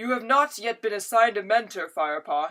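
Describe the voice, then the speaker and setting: A put-on character voice delivered at a fairly high pitch and a fairly quick pace. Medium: read story. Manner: gentle, calm.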